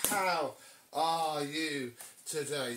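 Noticeable background noise is present throughout. Over it, a man talks. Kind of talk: casual unboxing vlog chat. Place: home room. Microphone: camera far.

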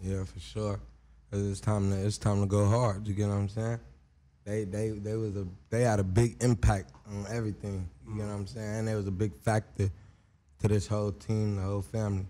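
Speaking with an American accent, a man has a dark, mellow tone and a fairly low pitch. His intonation is fairly even and his pace fairly quick. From Long Beach, California. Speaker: rapper. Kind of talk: casual interview. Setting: studio. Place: studio. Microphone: studio mic.

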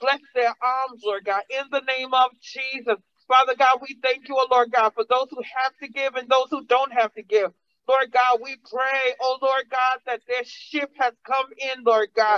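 At a fairly slow pace, the voice has an animated tone over a quiet background. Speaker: preacher. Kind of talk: sermon. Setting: church. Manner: animated, call-and-response preaching with congregation. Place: church. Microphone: podium.

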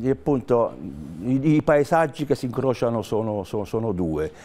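This man's voice sits at a medium pitch and has a dark, mellow tone. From Naples, southern Italy (moved from Basilicata as a child); Italy. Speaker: singer-songwriter; guest. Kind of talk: interview. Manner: halting. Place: studio. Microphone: lapel.

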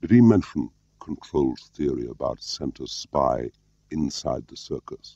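A man puts on a soft-spoken character voice with an extremely low pitch and a dark, mellow tone. He speaks at a fairly slow pace with lively intonation, and the sound is dry and close with no echo.

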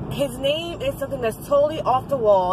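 Noticeable background noise sits under a woman speaking at a fairly quick pace with ordinary pitch variation. The sound is dry, with no echo. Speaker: vlogger. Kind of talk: casual vlog chat. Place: car. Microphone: phone near.

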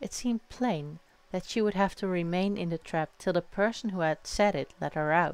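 The clip is plain reading aloud, and its pitch moves with ordinary variation.

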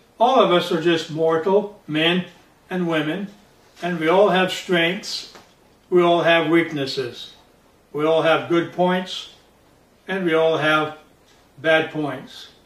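A man's high voice at a very slow pace, with fairly even intonation, long, frequent pauses and audible room echo. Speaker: pastor. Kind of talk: sermon. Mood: calm, earnest. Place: home room.

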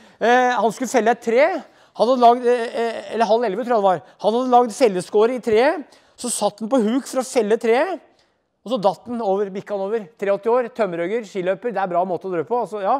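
An animated man with an extremely high voice, ordinary pitch variation, and a fairly quick pace against a quiet background. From Norway, Hedmark (Brumunddal); Norway. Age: 50s. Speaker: folklorist and author; guest lecturer. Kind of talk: lecture. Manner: fast. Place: hall.

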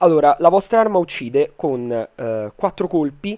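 A man's voice swings very widely in pitch, recorded dry and close with no echo. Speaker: gaming YouTuber. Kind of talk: casual gaming tutorial.

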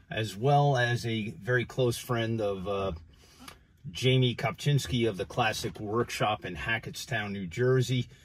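Speaking somewhat breathily, a man moves along at a fairly slow pace. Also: ordinary pitch variation. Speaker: car seller. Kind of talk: car walkthrough commentary. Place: car. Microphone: phone near.

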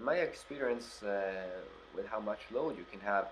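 A man speaks with a Norwegian accent. His pace is fairly slow. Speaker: YouTuber reviewing his tractor. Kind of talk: product review. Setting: outdoors with tractor. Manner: hesitant, many fillers.

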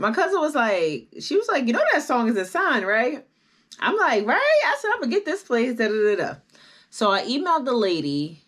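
Against a quiet background, the speaker keeps a moderate pace while the pitch swings very widely. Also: woman, high pitch for a woman. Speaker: vlogger. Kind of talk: casual vlog chat, personal story. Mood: upbeat, animated.

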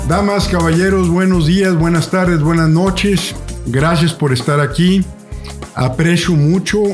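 A man speaks at a high pitch while faint music plays in the background. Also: fairly even intonation, fairly slow pace. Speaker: podcast host. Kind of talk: podcast introduction. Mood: warm, courteous. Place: home room. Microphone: studio mic.

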